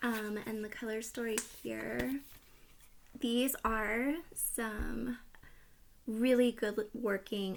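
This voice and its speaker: A soft-spoken woman talks at a fairly high pitch. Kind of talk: casual talk to camera; ASMR makeup palette review.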